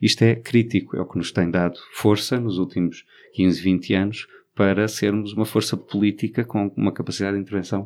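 An ordinary speaking voice, this man talks at a moderate pace with fairly low pitch and fairly even intonation on a very clean recording with a silent background. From Portugal, Alentejo. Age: 40s. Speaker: LGBT activist. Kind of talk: interview.

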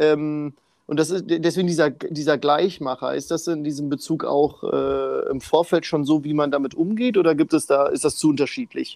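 A man speaks in an ordinary speaking voice, fairly high in pitch with ordinary pitch variation. His pace is moderate, and the background is quiet. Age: 20s. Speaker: podcast host. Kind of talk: casual interview.

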